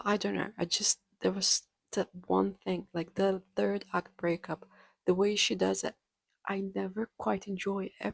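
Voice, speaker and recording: A woman speaks with a non-native accent at a fairly slow pace. The sound is dry and close, with no echo. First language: not English. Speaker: book reviewer. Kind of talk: casual chat.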